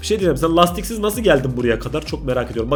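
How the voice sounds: Putting on a hoarse character voice, a man rattles along at a very fast pace and fairly high pitch with music in the background.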